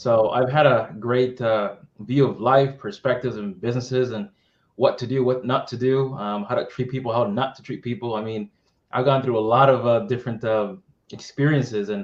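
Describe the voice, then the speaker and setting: Speaking with an American accent in a normal speaking voice, a man keeps a moderate pace, medium pitch and fairly even intonation. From Massachusetts, US (Methuen, Boston area). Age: 30s. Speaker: tech business development leader. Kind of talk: interview.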